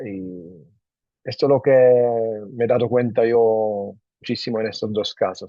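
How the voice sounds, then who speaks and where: The man talks at a fairly slow pace. He has a non-native accent. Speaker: webinar host, medico-legal company. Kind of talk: webinar moderation. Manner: halting.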